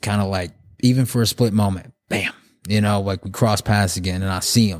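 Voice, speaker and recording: On a very clean recording with a silent background, a man with an American accent and an unremarkable speaking voice talks at a fairly quick pace, his pitch fairly low and his intonation fairly even. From Oklahoma and the Navajo reservation in Arizona. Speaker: photographer sharing his recovery and faith story. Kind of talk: testimony.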